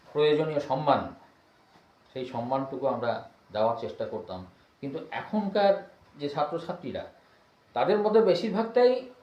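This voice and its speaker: Speaking at a fairly high pitch, the man swings widely in pitch and sharply in loudness, with audible room echo around him. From West Bengal, Birbhum district. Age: 60s. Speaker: retired headmaster. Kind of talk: interview.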